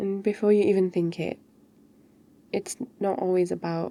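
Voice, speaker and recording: Speaking with a British accent, a woman keeps a moderate pace. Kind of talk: ASMR girlfriend roleplay. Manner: soft-spoken, caring.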